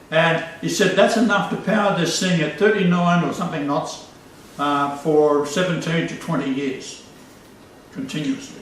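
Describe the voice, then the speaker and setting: Over noticeable background noise, a man talks at a moderate pace. His pitch is high, with ordinary variation. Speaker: religious video host. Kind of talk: casual chat.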